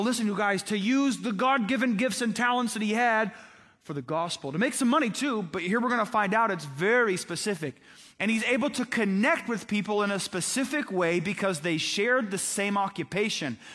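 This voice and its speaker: A man speaks at a fairly quick pace in a high, animated voice with ordinary pitch variation, on a very clean recording with a silent background. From Indiana, US Midwest. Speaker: pastor. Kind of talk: sermon.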